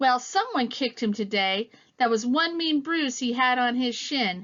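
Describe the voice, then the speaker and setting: Using a put-on character voice, a woman speaks at a moderate pace, high-pitched and with lively intonation. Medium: read story. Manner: blunt.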